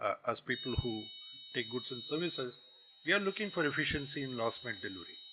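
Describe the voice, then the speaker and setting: A man with a Tamil accent and a fairly high voice, very fast pace and very wide pitch swings, over noticeable background noise. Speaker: guest lecturer, business executive. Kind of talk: lecture. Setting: college campus lecture hall.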